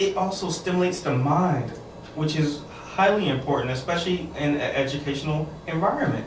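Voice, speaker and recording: A man speaks fairly quickly at a fairly high pitch, with ordinary pitch variation and very even loudness. There is noticeable background noise and audible room echo. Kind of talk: radio interview.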